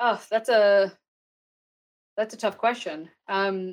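A woman with a Texas accent, medium in pitch and very slow in pace. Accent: American, Texas. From Texas, US. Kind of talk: interview conversation.

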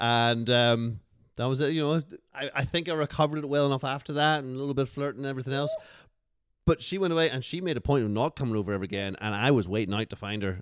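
Speaking at a very fast pace, a man with a medium pitch and ordinary pitch variation is heard on a very clean recording with a silent background. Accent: Northern Irish. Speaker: podcast guest. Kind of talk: casual chat.

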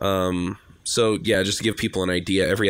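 A man's voice with ordinary pitch variation. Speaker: podcast host. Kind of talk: casual chat. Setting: video call.

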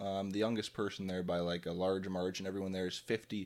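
In a very clean recording with a silent background, a man with an Ontario accent speaks fairly quickly in a very deep voice with monotone, flat intonation. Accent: Canadian (Ontario). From Ontario, Canada (Drayton, near Kitchener-Waterloo). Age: 20s. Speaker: podcast co-host. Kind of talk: casual chat.

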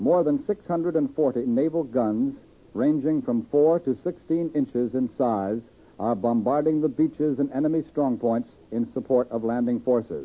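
In an American accent, a man talks at a fairly slow pace with an unremarkable speaking voice of medium pitch. His loudness stays very even, with ordinary pitch variation. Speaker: radio news anchor. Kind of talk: live news broadcast. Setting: studio.

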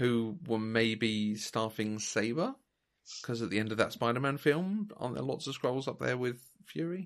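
A man with a plain, everyday voice speaks at a moderate pace, with medium pitch and lively intonation. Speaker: podcast co-host. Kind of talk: casual chat.

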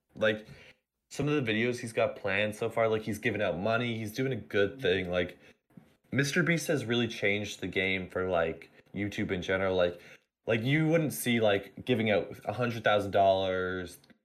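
A man's unremarkable speaking voice, fairly low in pitch, fairly slow, with ordinary pitch variation, on a very clean recording with a silent background. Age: young. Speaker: student. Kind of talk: casual chat.

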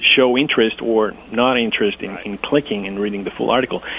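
A man's voice with a Greek accent and ordinary pitch variation. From Greece (Athens). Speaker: domain investor and website developer. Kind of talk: interview. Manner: hesitant, many fillers.

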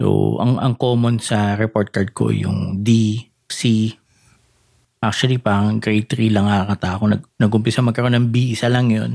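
Using monotone, flat intonation, a man speaks at a fairly low pitch. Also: moderate pace. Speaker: podcast host. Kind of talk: casual chat.

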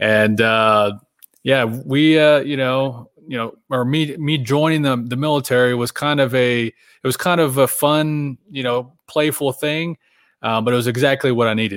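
A man's ordinary speaking voice with an American accent, medium pitch and fairly even intonation. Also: fairly slow pace. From Oklahoma, small town. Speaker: military veteran and author. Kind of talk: casual interview. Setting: video call.

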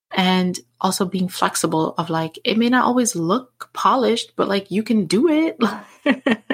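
At a fairly slow pace with hardly any pauses, a woman with a medium pitch and lively intonation sounds somewhat breathy while keeping her loudness very even. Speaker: podcast host. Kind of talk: solo monologue. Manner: many fillers.

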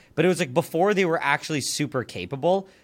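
On a very clean recording with a silent background, a man talks at a fairly quick pace with vocal fry. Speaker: YouTuber. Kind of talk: casual chat.

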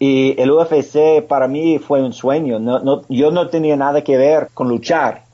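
A man with an American accent talks at a very slow pace, fairly high in pitch, with fairly even intonation and hardly any pauses. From US, Pennsylvania. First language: English (speaking Spanish). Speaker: former mixed martial arts fighter and motivational speaker. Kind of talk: interview. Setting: remote call from home. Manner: halting.

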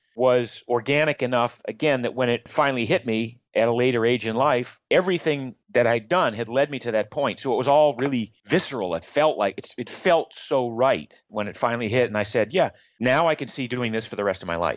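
With an American accent, an ordinary speaking voice moves at a fairly quick pace, with hardly any pauses and lively intonation. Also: man. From Maine, US. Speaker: health blogger and entrepreneur. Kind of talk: interview.

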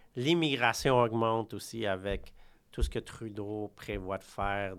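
A man's fairly low voice unfolds at a very slow pace. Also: very clean recording, silent background. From Quebec. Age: 30s. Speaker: real estate broker. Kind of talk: interview. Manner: halting.

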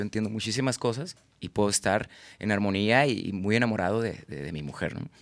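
Speaking at a fairly quick pace, a man with a Mexican accent uses a fairly low pitch. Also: very clean recording, silent background. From Tabasco, Mexico; Guadalajara, Mexico. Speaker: singer-songwriter and comedian. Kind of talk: casual chat.

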